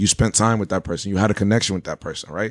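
Very fast and animated, a man rattles along. The recording is very clean with a silent background, and the sound is dry and close with no echo. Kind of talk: casual chat.

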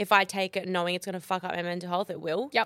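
This woman's recording is very clean, with a silent background and a dry, close sound with no echo. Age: 20s. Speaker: podcast co-host. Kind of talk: casual chat.

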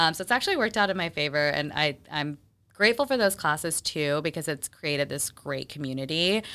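With an American accent, a woman with a very deep, low pitch and a bright, sharp tone talks at a fairly quick pace with lively intonation, in a very clean recording with a silent background. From Texas. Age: 30s. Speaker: charcuterie business owner. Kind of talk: casual interview.

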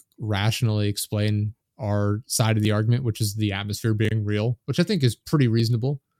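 In a normal speaking voice, a man talks at a fairly quick pace with fairly low pitch, very even loudness and fairly even intonation, the sound dry and close with no echo on a very clean recording with a silent background. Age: 20s. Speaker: podcast host. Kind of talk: casual chat.

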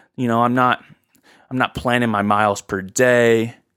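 Recorded very cleanly with a silent background and a dry, close sound with no echo, a man speaks at a moderate pace in a medium-pitched, bright, sharp voice with monotone, flat intonation. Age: 20s. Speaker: podcast host. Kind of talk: solo monologue podcast. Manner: casual, conversational.

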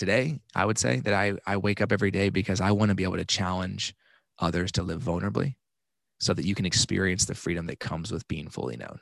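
A man's very deep, low voice with vocal fry and an American accent, at a very fast pace, dry and close with no echo, against a quiet background. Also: lively intonation. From Texas, Dallas. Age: 30s. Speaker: life coach. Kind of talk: casual chat.

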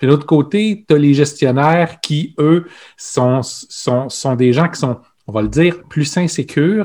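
A man speaks at a fairly slow pace with a fairly high pitch and ordinary pitch variation, his tone dark and mellow. The recording is very clean, with a silent background. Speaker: podcast co-host, organizational consultant. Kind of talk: casual chat.

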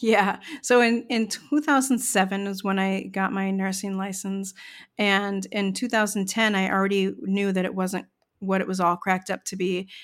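An ordinary speaking voice with an American accent talks at a moderate pace with fairly even intonation, on a very clean recording with a silent background. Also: woman, medium pitch for a woman. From US Midwest, Chicago suburbs. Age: 50s. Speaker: nurse turned therapist-coach. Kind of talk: personal testimony interview.

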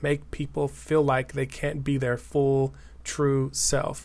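A man talks with an American accent. His pitch is fairly high and his pace fairly slow. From Denver, Colorado. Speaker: writer and educator. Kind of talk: casual chat. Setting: video call.

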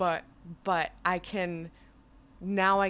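In an American accent, a woman speaks with a bright, sharp tone at a fairly low pitch, on a very clean recording with a silent background. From New Jersey. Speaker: podcast co-host. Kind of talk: casual chat. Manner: animated.

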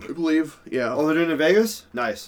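A man with a high-pitched voice speaks over noticeable background noise. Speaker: podcast host. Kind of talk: casual sports chat.

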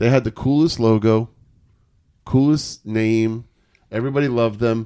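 A man's medium-pitched monotone with an American accent, flat in intonation and moderate in pace, on a very clean recording with a silent background. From New York. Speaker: sports podcast host. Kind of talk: casual chat.

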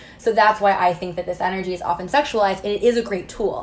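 A woman with an American accent has an ordinary speaking voice. Her pitch is medium and her intonation fairly even. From US Midwest, Missouri small town. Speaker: tantra and intimacy mentor. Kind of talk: casual interview chat. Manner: frequent fillers like 'like' and 'um'.

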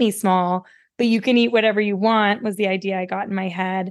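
A woman has a plain, everyday voice with an American accent, at a medium pitch and fairly even intonation. She speaks at a moderate pace in a quiet background. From West Virginia. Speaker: dietitian. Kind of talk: interview.

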